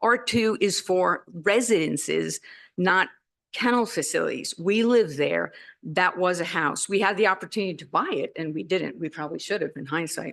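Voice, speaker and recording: Against a quiet background, a woman talks at a moderate pace in a medium pitch, with vocal fry, lively intonation and big swings in loudness. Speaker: neighbouring resident speaking at public hearing. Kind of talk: public comment at zoning meeting.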